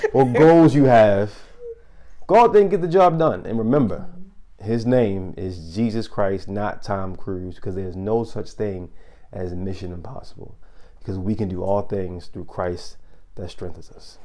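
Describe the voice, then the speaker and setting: Speaking with a Baltimore accent at a moderate pace, a man's fairly low, dark, mellow voice carries lively intonation and big swings in loudness. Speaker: podcast host. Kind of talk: casual chat.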